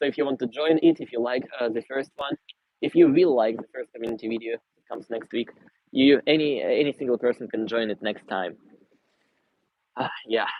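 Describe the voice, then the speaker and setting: Talking at a fairly quick pace, a man with a Russian accent shows ordinary pitch variation. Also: medium pitch for a man. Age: 20s. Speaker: vlogger. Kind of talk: livestream Q&A and city tour. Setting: outdoors walking in city. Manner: casual, conversational.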